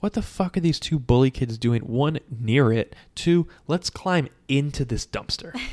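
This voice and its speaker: Recorded dry and close with no echo, a man speaks at a fairly slow pace in a fairly high voice. His tone is animated and his intonation lively. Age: 30s. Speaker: comedy podcast host. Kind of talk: casual chat. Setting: home recording in his apartment.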